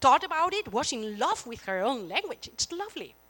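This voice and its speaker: A raised, projected voice with a bright, sharp tone at a moderate pace, in a dry, close sound with no echo. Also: woman. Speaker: keynote speaker, professor. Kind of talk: conference keynote. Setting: conference hall with audience.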